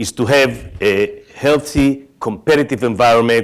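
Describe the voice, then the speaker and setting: A man is talking. He speaks with an Israeli accent. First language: Hebrew. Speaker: tech company executive. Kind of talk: conference keynote talk.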